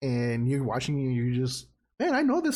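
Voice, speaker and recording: Speaking at a very fast pace, a man with a Spanish accent uses a fairly high pitch with very wide pitch swings. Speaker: podcast co-host. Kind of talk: casual chat.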